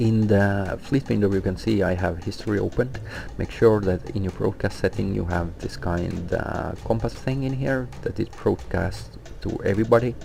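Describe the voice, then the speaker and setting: A man with a non-native accent speaks at a moderate pace with lively intonation. Music plays in the background. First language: not English. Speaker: gaming guild officer, tutorial maker. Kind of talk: tutorial. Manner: hesitant, many fillers.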